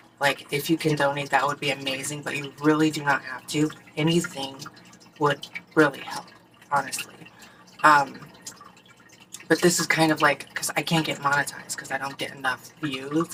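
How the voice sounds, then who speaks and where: The voice moves at a moderate pace with big swings in loudness. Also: woman, very deep, low pitch for a woman. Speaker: vlogger. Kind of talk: casual chat. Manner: halting.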